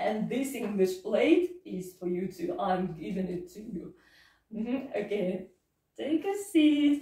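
In a room with audible echo, a woman speaks at a very slow pace in a fairly high pitch, her dark, mellow tone somewhat breathy, with very wide pitch swings and big swings in loudness. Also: quiet background. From Russia. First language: Russian. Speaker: English teacher. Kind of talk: English lesson role-play interview with a child; lesson wrap-up, giving gifts. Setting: classroom. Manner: slow, simple, encouraging teacher talk. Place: classroom. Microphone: camera far.

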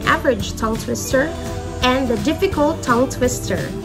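A woman talks at a moderate pace while clear music plays behind her. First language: not English. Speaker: English teacher. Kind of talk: classroom lesson to students. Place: home room. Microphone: phone near.

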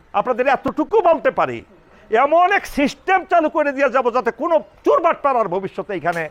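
A man speaks at an extremely high pitch. His pitch swings very widely. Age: 60s. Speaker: retired army officer, election candidate. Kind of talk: campaign speech.

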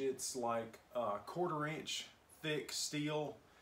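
Very slowly, a man talks, varying his pitch in an ordinary way. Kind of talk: informal explanation to camera. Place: workshop. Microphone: camera far.

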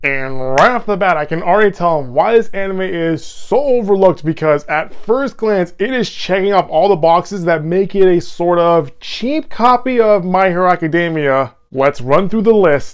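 Against a quiet background, a man talks at a moderate pace with lively intonation and hardly any pauses. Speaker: anime reviewer. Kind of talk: casual review commentary. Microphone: lapel.

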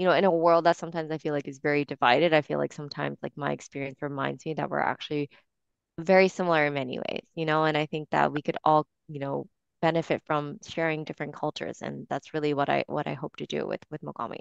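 A woman speaks at a very fast pace. The sound is dry with no echo, against a quiet background. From Japan. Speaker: wellness coach and entrepreneur; wellness coach. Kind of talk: interview. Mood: warm, reflective. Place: home room. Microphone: headset.

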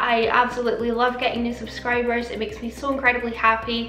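A woman speaks very fast in a raised, projected voice, with audible room echo and faint music in the background. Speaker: beauty vlogger. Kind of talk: casual vlog chat. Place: home room.

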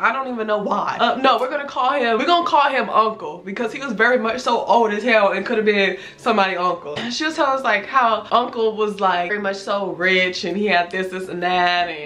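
A woman at medium pitch, fairly quick with few pauses, ordinary pitch variation, over faint background noise. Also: fairly bright tone.

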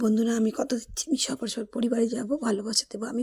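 The voice is somewhat breathy. Its sound is dry and close, with no echo. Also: woman. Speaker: vlogger. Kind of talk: casual vlog narration. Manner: animated.

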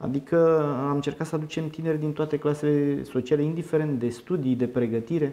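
With a dark, mellow tone, a man speaks at a fairly high pitch, fairly quick pace and fairly even intonation. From Romania, Teleorman county; Romania. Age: 30s. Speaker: politician. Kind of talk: interview. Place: meeting room. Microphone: handheld.

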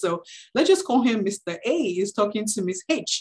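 A woman speaks at a fairly slow pace against a quiet background. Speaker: webinar presenter. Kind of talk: lecture. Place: home room. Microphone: video call.

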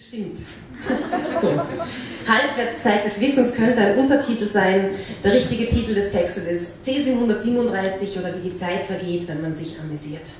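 A woman talks at a moderate pace with ordinary pitch variation and long, frequent pauses. Strong room echo and noticeable background noise fill the recording. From Austria. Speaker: slam poet. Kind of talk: poetry slam performance. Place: hall.

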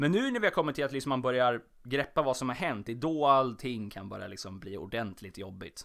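Fairly quick, fairly high-pitched speech from a man. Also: very clean recording, silent background. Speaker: podcast host. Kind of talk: solo casual monologue. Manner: stumbling over words; animated, chatty.

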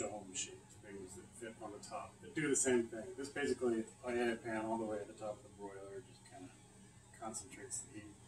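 Mumbling at a fairly quick pace, a man shows ordinary pitch variation. Noticeable background noise sits behind him. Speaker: home cook. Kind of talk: casual cooking demo. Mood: relaxed, casual. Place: kitchen. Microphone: phone near.

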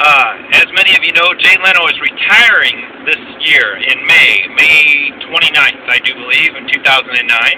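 Here a man is talking. There is light background noise behind him. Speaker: vlogger. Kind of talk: casual vlog chat. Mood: upbeat, excited. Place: car. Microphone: phone near.

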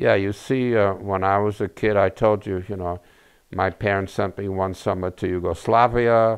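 A man's fairly low, monotone, flat voice at a moderate pace against a quiet background. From Czechoslovakia, raised in New York. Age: 80s+. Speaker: rabbi. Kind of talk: oral history interview. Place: home room.

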